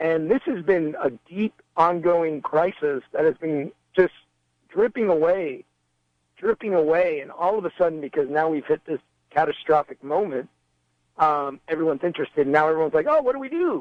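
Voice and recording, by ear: Lively intonation at a moderate pace, with a dry, close sound with no echo. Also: man, fairly high pitch for a man.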